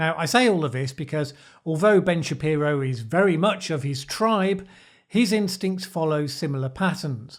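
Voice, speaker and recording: With a British accent and lively intonation, a man speaks at a moderate pace and a fairly high pitch in a very clean recording with a silent background. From Britain. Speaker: political commentator. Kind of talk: video essay commentary.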